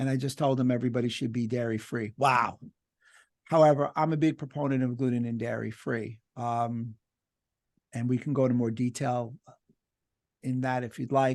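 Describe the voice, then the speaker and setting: A man with a New York accent speaks at a moderate pace and medium pitch in monotone, flat intonation, with long, frequent pauses against a quiet background. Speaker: doctor and lecturer. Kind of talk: webinar Q&A discussion.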